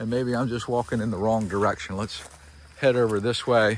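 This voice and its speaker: The man here speaks at a fairly quick pace. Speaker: realtor. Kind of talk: property tour video. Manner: casual, hesitant fillers.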